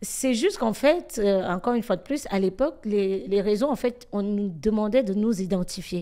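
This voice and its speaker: A woman with a medium pitch and a dark, mellow tone speaks. Her intonation is lively and her pace moderate. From Cameroon, then France from school age. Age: 30s. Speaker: influencer and comedian. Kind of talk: interview.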